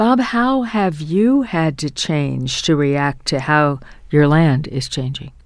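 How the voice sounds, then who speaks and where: A woman's very deep, low voice at a very slow pace. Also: very clean recording, silent background. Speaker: radio host. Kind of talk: radio interview.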